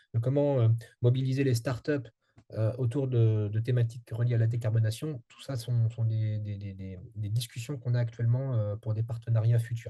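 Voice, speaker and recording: A man with medium pitch and a dark, mellow tone speaks in a monotone at a moderate pace, somewhat breathy, with big swings in loudness. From France. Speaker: strategic advisor on energy transition. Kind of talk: interview. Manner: halting, many fillers.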